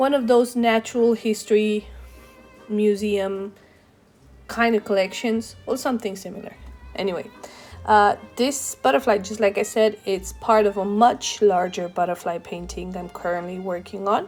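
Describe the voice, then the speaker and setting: A woman with a non-native accent speaks at a medium pitch and a moderate pace with ordinary pitch variation. Music plays in the background. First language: not English. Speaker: painter. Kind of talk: casual voiceover narration. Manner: halting, with fillers and self-corrections.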